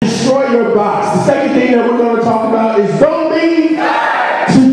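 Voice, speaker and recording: With music playing behind him, a man speaks at an extremely high pitch in an energetic, upbeat tone. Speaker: inspirational youth speaker. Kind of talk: motivational speech to students. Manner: energetic, upbeat, conversational, engaging.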